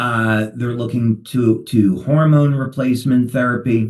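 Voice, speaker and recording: A man with a New Jersey accent at a fairly slow pace. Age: 60s. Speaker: company founder. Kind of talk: webinar talk.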